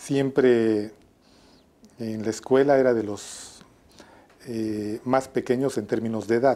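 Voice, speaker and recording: This man has a dark, mellow tone. His pitch variation is ordinary. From Mexico, Atlixco, Puebla; Puebla, Mexico. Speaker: public health physician and researcher. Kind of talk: interview. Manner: hesitant, many fillers; formal. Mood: warm, reminiscing. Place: office. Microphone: lapel.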